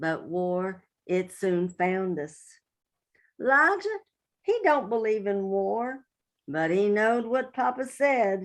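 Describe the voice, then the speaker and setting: A woman in a West Virginia accent talks at a very slow pace with lively intonation. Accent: West Virginia Appalachian. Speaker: poet. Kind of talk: poetry reading.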